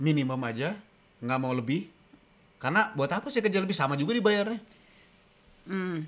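Bright and sharp in tone, a man's voice shifts in pitch by a typical amount. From Indonesia. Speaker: co-host; livestream co-host. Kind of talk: casual live-stream chat. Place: kitchen. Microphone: studio mic.

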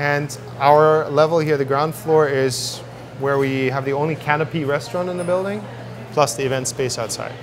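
Music plays in the background. The voice shows ordinary pitch variation. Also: man. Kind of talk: interview answer. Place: cafe.

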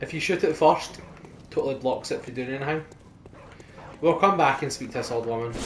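Fairly quick speech in a Scottish accent, broken by long, frequent pauses, with noticeable background noise. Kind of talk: casual gaming commentary.

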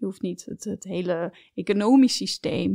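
A woman speaks at a moderate pace in a dark, mellow tone. The sound is dry and close, with no echo. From Netherlands, family fled from Belarus. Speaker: entrepreneur, company co-founder. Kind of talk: interview conversation. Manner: hesitant, many filler sounds.

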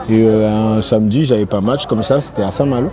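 With noticeable background noise behind him, a man speaks at a fairly quick pace in a fairly low pitch, the sound dry with no echo. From France, Rennes (born in Congo); France. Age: 30s. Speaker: singer; interviewee. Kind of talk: interview. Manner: casual, conversational. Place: garden. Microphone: lapel.

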